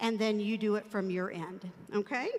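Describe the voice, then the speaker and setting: Here is a woman with a normal speaking voice. She talks at a moderate pace and a fairly high pitch. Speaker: church ministry director. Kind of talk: training briefing. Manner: filler-heavy (um, uh).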